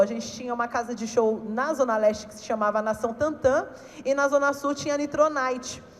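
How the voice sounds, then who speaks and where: Against noticeable background noise, a woman speaks at a moderate pace with a high pitch and ordinary pitch variation. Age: 30s. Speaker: funk cultural organizer, panelist. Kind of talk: panel talk.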